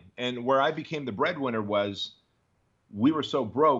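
A man with a normal speaking voice and an American accent, at a moderate pace, with ordinary pitch variation. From Armenia, raised in the US from age 6. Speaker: entrepreneur and business coach. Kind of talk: interview.

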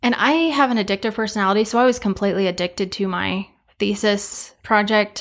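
A woman with an American accent and a normal speaking voice talks at a fairly quick pace and medium pitch, with fairly even intonation, on a very clean recording with a silent background. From eastern Colorado, rural. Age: 20s. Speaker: farmer and seed sales manager. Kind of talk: casual interview chat.

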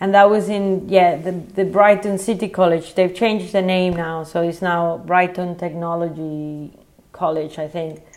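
A woman with a Spanish accent speaks at a moderate pace in a fairly low pitch, her intonation monotone and flat. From Venezuela, Caracas. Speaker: photographer. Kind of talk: casual interview. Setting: internet call.

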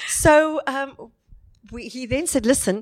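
Recorded very cleanly against a silent background, a woman with a South African accent sounds dry and close with no echo. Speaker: wedding celebrant and inspirational speaker. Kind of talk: interview, personal testimony. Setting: hotel venue recording.

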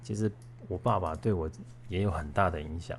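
His intonation is lively and his pace moderate. The man sounds somewhat breathy. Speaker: podcast co-host. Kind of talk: personal storytelling. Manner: casual with many filler sounds.

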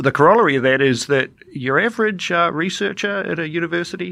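There is a quiet background. A man talks with lively intonation. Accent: New Zealand. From New Zealand, Dunedin (south). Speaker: government IT executive. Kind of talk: interview.

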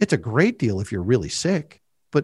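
A man talks at a fairly quick pace with very wide pitch swings and vocal fry. The recording is very clean, with a silent background. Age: 40s. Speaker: financial advisor and wealth manager. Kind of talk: interview on personal finance.

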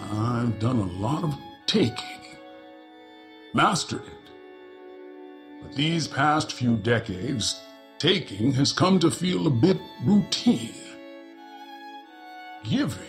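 Over clear background music, a man does a put-on character voice at medium pitch, moving at a fairly slow pace with long, frequent pauses. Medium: read story. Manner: blunt, unhurried, matter-of-fact.

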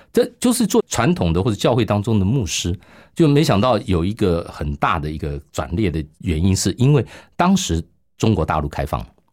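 A man with a Taiwanese accent, fairly low pitch and very wide pitch swings, at a moderate pace on a very clean recording with a silent background. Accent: Taiwanese Mandarin. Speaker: radio pastor. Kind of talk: testimony interview.

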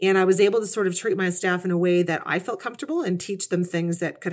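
Speaking at a very fast pace, a woman with a Canadian accent has a medium pitch. The recording is very clean with a silent background. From Canada, Kitchener, Ontario. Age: 40s. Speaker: career changer, former retail manager. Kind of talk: interview conversation.

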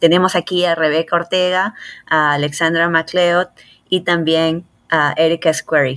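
A woman's fairly low voice in flat, monotone intonation at a fairly slow pace, dry and close with no echo, in a very clean recording with a silent background. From Peru, Lima. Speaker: cardiologist. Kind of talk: interview. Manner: hesitant with frequent fillers.

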